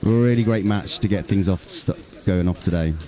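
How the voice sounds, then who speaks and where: A man with a very deep, low voice talks at a fairly quick pace with ordinary pitch variation. Music plays in the background. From England, Bristol. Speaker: sports commentator. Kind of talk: live commentary. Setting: courtside at a tennis centre. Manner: hesitant with fillers.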